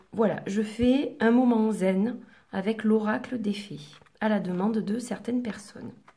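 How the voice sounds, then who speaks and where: A soft-spoken woman talks at a very slow pace in a fairly high pitch, somewhat breathy. Her tone is dark and mellow, with ordinary pitch variation. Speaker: oracle card reader. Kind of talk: relaxation guidance talk to camera.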